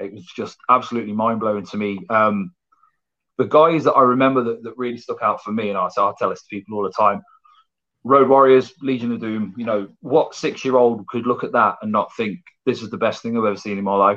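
A man with a West Midlands accent, bright, sharp tone and medium pitch, at a fairly quick pace with ordinary pitch variation and big swings in loudness. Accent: English Midlands (Coventry). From England, Coventry. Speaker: professional wrestler. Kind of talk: casual interview.

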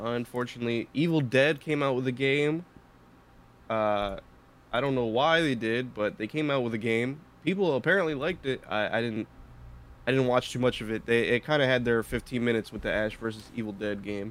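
A normal speaking voice at a fairly quick pace, with ordinary pitch variation. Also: man, medium pitch for a man. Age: 20s. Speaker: podcast producer. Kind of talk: casual chat.

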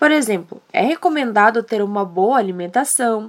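The woman's fairly high voice swings very widely in pitch while she keeps a moderate pace. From southern Brazil, Rio Grande do Sul. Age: young. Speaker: podcast host, journalism student. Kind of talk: scripted narration.

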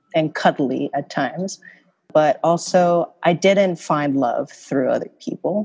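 The woman talks fairly slowly against a quiet backdrop, her pitch varying in an ordinary way. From Korea. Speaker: podcast host. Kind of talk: casual chat podcast.

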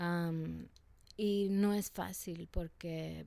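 Fairly low in pitch, a woman's voice carries a dark, mellow tone. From Salvadoran family in the US. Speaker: rapper and activist. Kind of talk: interview. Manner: halting, many fillers.

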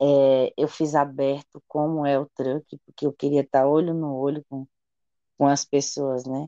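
A woman with a very deep, low voice speaks at a fairly slow pace in a flat monotone, the sound dry and close with no echo. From Bahia, Chapada Diamantina (Brazil). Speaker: chef and restaurant owner. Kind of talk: interview conversation.

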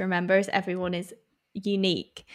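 A woman with an English accent and a medium pitch, on a very clean recording with a silent background. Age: 20s. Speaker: podcast co-host. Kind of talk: casual chat.

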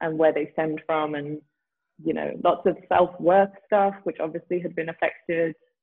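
In a London accent, a woman talks at a moderate pace with a fairly low pitch and fairly even intonation. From England, Southeast London. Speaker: yoga teacher. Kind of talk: interview conversation. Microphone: poor connection, overlapping audio.

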